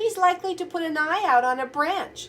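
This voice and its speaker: In a put-on character voice, the speaker squeaks and whines at an extremely high pitch, in a whiny tone and at a fairly quick pace. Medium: read story.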